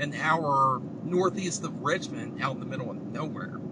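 A man keeps a moderate pace and ordinary pitch variation while loud background noise carries on. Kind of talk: casual vlog chat. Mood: excited, relaxed. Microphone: camera far.

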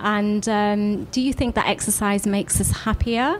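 A woman's normal speaking voice at a fairly slow pace. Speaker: podcast host. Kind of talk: podcast interview.

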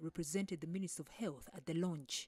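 A woman's fairly low voice with a dark, mellow tone. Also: dry, close sound with no echo. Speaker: news presenter. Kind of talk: news reading.

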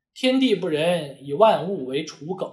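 A high-pitched man's voice with very wide pitch swings over a quiet background. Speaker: immigration lawyer. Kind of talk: lecture. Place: office.

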